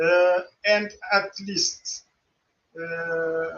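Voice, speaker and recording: In a Portuguese accent, a man speaks at a high pitch with fairly even intonation. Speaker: pharmaceutical regulator. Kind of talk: conference presentation. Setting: virtual conference studio. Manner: halting, many fillers and repeats.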